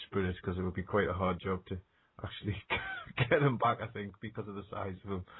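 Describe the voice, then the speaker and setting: A man speaks fairly quickly with an American accent. His pitch is fairly low and his intonation fairly even. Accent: British accent, noted by US listener. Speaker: radio show host, ghost hunter. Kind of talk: radio interview chat.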